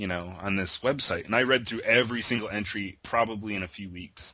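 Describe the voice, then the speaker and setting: Talking at a fairly quick pace, a man with an ordinary speaking voice has a fairly low pitch and ordinary pitch variation. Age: 30s. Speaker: internet artist, creator of a horror meme. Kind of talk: casual interview.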